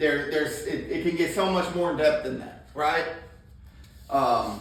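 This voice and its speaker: A high-pitched man at a fairly slow pace with fairly even intonation, audible room echo and noticeable background noise. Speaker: plumbing trainer. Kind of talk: hands-on training talk. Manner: loud and confident.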